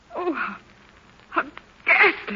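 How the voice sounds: In a put-on character voice, a woman speaks slowly at a high pitch with big pitch swings, and audible room echo is present.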